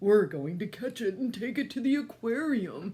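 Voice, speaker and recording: Fairly high pitch and a moderate pace in a put-on character voice. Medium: read story. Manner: excitable.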